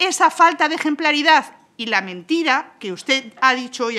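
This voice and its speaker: A woman speaks with a Spanish accent. Her voice is raised and projected. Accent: Peninsular Spanish. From Spain. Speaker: parliamentary spokesperson. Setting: parliament chamber. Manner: formal, with occasional hesitations ("eh") while building the argument. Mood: combative, critical. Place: hall. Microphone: podium.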